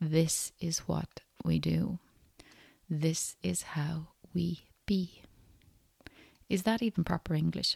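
A woman with a fairly low pitch speaks very slowly in a calm, gentle, somewhat breathy tone, with fairly even intonation and long, frequent pauses. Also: dry, close sound with no echo. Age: 40s. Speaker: podcast host. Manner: calm, gentle, reflective with hesitations.

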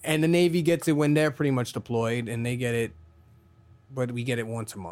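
With an American accent and lively intonation, a man speaks at a fairly quick pace in a plain, everyday voice. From Brooklyn, New York. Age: 40s. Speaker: podcast host, Navy veteran. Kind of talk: casual chat.

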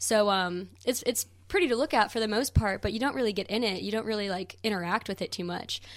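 With an American accent, a woman talks at a very fast pace and ordinary pitch variation on a very clean recording with a silent background. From US Midwest, St. Louis, Missouri. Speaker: environmental nonprofit worker. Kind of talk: interview.

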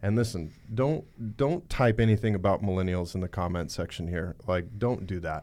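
On a very clean recording with a silent background, a man with an American accent speaks at a moderate pace in a fairly low, dark, mellow voice with ordinary pitch variation. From Montana, small town. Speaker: podcast host, real estate brokerage leader. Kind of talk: casual interview.

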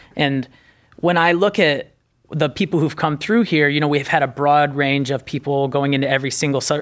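A man's fairly high voice, an ordinary speaking voice with an American accent, ordinary pitch variation and a moderate pace. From northern Indiana. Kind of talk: casual interview.

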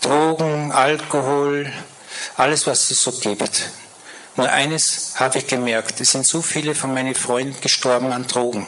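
A man talks with fairly even intonation and long, frequent pauses. Audible room echo and noticeable background noise surround him. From Vienna, Austria (Floridsdorf). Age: 60s. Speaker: guest speaker sharing conversion story. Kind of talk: testimony. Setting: church service stage with audience.

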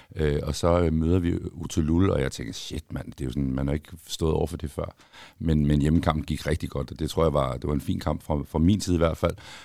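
A man with a very deep, low pitch and a dark, mellow tone speaks with fairly even intonation. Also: moderate pace. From Denmark, Copenhagen. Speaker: former footballer. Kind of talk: casual chat.

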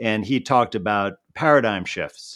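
A man speaks at a fairly low pitch against a quiet background. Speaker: physician and natural healing consultant. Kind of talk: interview. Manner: relaxed.

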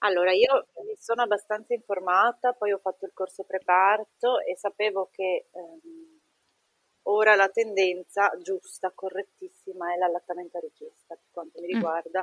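A woman with a medium-pitched, normal speaking voice talks at a moderate pace with fairly even intonation and big swings in loudness, in a dry, close sound with no echo. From northeastern Italy (Treviso). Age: 30s. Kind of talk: interview testimony.

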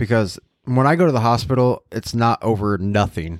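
In a very clean recording with a silent background, a man speaks with a plain, everyday voice at a fairly low pitch. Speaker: podcast co-host, health-struggling. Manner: jokey, deadpan.

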